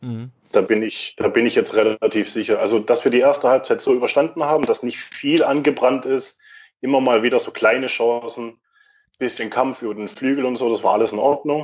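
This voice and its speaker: A man speaks at a medium pitch and a fairly quick pace, his intonation fairly even, against a quiet background. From Württemberg, Germany (Mühlacker). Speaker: football fan. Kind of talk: casual chat.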